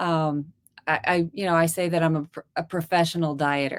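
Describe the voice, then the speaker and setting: A woman talks at a fairly slow pace in a fairly low pitch. She has a normal speaking voice. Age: 50s. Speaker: dentist and carnivore diet youtuber. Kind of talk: interview testimony.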